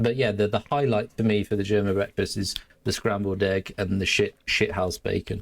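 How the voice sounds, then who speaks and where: Monotone, flat speech from a man at a moderate pace, fairly low in pitch, with very even loudness. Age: 40s. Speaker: military veteran and motorcycle vlogger. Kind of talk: casual podcast chat. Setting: remote call.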